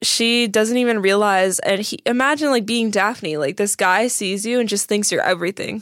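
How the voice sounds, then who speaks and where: A woman with a plain, everyday voice speaks at a moderate pace in a fairly high pitch, with ordinary pitch variation and hardly any pauses. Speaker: podcast co-host. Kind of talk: casual chat. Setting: studio.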